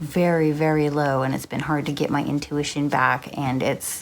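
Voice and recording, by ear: A soft-spoken woman at a low pitch, with little pitch movement and a fairly slow pace.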